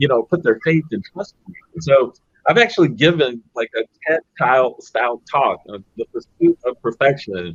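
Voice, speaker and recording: A normal speaking voice from a man, fairly high in pitch, at a moderate pace, dry and close with no echo. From Los Angeles, California. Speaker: business executive. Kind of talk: panel discussion. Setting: virtual conference.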